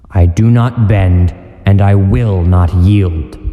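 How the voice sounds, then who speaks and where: A man puts on a character voice with a very deep, low pitch. He speaks at a very slow pace, with a slight echo. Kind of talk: comic dub. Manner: commanding, stern.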